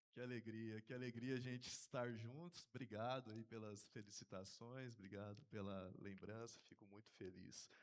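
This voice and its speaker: At a moderate pace with hardly any pauses, a man uses a plain, everyday voice at medium pitch with fairly even intonation. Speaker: seminarian preacher. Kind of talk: sermon. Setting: church.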